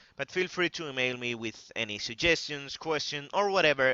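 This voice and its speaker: A man with a Spanish accent talks at a fairly quick pace. His pitch is medium and his intonation is lively. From Spain. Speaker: gaming youtuber. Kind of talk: tutorial. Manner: halting.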